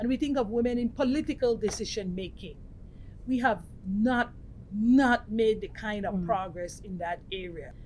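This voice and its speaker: A woman speaks at a moderate pace with a somewhat breathy voice and ordinary pitch variation, with light background noise behind her. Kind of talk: interview answer. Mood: earnest, measured. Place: meeting room. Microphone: lapel.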